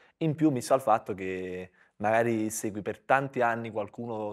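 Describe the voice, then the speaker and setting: At a moderate pace, a man speaks with a fairly low pitch. His pitch varies in an ordinary way, and the background is quiet. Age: 30s. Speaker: comedian. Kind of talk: live podcast chat. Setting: stage with audience. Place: studio. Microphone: lapel.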